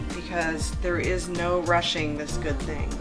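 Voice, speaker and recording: Clear music sits in the background. Over it, a woman speaks at a fairly slow pace. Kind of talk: tutorial. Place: kitchen.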